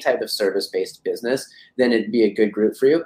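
A man talks at a very fast pace. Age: 30s. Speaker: agency owner and business coach. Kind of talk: interview. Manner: animated.

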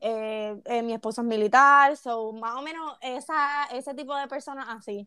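A woman's raised, projected voice sounds bright and sharp, high in pitch, at a moderate pace with ordinary pitch variation on a very clean recording with a silent background. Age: 20s. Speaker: young mother. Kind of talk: casual chat.

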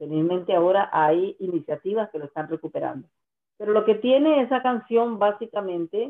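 Here is a woman with a plain, everyday voice. Her pitch is medium, with ordinary pitch variation. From Costa Rica, Guanacaste. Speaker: singer-songwriter. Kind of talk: interview.

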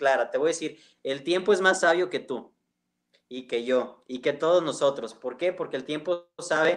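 A man speaks at a fairly slow pace with a fairly high pitch, a normal speaking voice, and ordinary pitch variation. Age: 40s. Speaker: charity founder. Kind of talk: live-stream interview.

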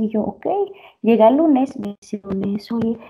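A woman's fairly high, somewhat breathy voice. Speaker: podcast co-host. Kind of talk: casual chat.

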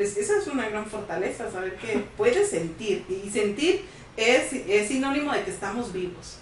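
In a room with audible echo and noticeable background noise, a woman speaks at a fairly high pitch with ordinary pitch variation. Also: moderate pace. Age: 30s. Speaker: psychologist co-host. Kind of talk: casual interview chat. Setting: studio.

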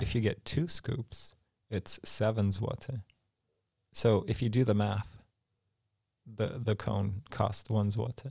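Speaking very slowly in an American accent, this somewhat breathy voice has a dark, mellow tone, fairly even intonation, and long, frequent pauses. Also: man, fairly low pitch for a man. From California. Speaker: podcast co-host. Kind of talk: casual chat.

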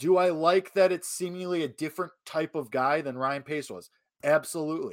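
A man with a fairly high pitch speaks at a fairly quick pace. The recording is very clean, with a silent background. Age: 20s. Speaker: sports podcast co-host. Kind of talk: casual sports talk. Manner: animated.

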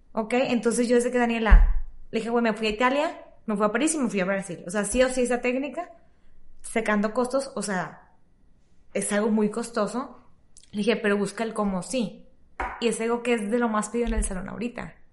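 Talking at a fairly quick pace with long, frequent pauses, a woman uses a fairly high pitch and ordinary pitch variation. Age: 30s. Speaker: salon owner. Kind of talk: casual interview.

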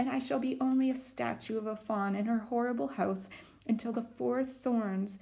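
Pitch moves in an ordinary way through this unforced reading voice.

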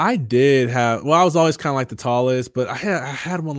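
Here a man has an unremarkable speaking voice with an American accent, talking at a fairly quick pace with a medium pitch and ordinary pitch variation. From Michigan (Jackson). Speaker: motivational speaker and author, former college football player. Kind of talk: casual interview, testimony.

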